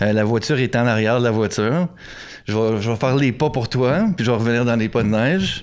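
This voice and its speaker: Keeping very even loudness, a man of medium pitch talks at a fairly quick pace with ordinary pitch variation. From Quebec. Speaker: photographer. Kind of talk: interview. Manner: casual, hesitant with fillers.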